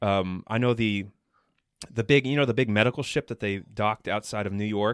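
The man's fairly low voice carries fairly even intonation at a moderate pace. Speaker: podcast host. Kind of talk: casual chat. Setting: home recording, unedited, kids in background. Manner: halting, many ums and uhs.

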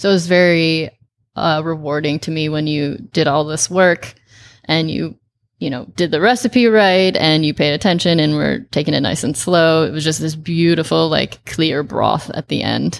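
With a Chicago accent, a woman speaks at a moderate pace in a very deep, low voice with ordinary pitch variation. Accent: Chicago-area American. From US Midwest, northern Illinois near Chicago. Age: 30s. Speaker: chef. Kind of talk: casual chat.

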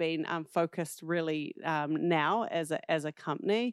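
Against a quiet background, a woman with a New Zealand accent talks in a fairly low pitch with ordinary pitch variation. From New Zealand, southern South Island. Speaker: social entrepreneur, nonprofit founder. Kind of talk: casual interview.

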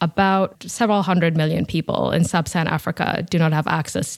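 Speaking at a fairly quick pace, a woman uses a very deep, low voice with vocal fry. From Kenya, Nairobi. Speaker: energy policy researcher. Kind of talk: interview. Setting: video call.

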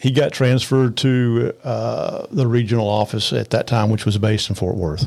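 With a Texan accent, a man at medium pitch talks at a moderate pace with hardly any pauses and very even loudness. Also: ordinary pitch variation. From north Texas, Arlington area. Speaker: attorney. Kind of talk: interview.

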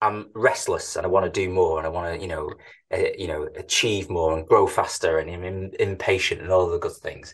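A man with a Manchester accent talks at a fairly quick pace against a quiet background. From Manchester, England. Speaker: tech company CEO. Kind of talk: interview conversation.

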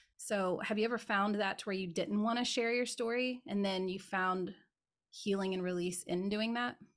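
An unremarkable speaking voice from a woman, medium in pitch, at a moderate pace with fairly even intonation, on a very clean recording with a silent background. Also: very even loudness. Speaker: podcast host and spiritual teacher. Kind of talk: casual interview chat.

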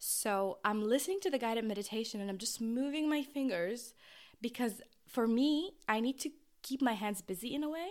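Lively intonation marks this woman's high-pitched voice, delivered at a moderate pace. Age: 20s. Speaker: podcast host. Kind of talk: casual monologue.

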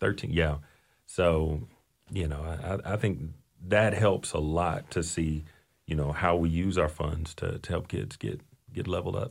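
A man with a very deep, low voice speaks at a fairly slow pace with ordinary pitch variation and long, frequent pauses, in a very clean recording with a silent background. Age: 30s. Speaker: fill-in co-host, social studies coordinator. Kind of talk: casual interview chat.

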